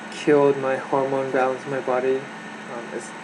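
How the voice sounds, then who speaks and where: A man talks at a fairly high pitch. Noticeable background noise and audible room echo fill the recording. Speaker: vlogger sharing personal mental health story. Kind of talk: personal testimony monologue. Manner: soft-spoken; halting, many fillers and restarts.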